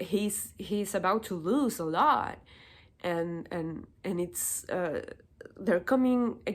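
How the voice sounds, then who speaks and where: At a very slow pace, a woman speaks with lively intonation at a medium pitch. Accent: Spanish. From Chile. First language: Spanish. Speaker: political commentary youtuber. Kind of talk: opinion monologue. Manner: halting, repeats words.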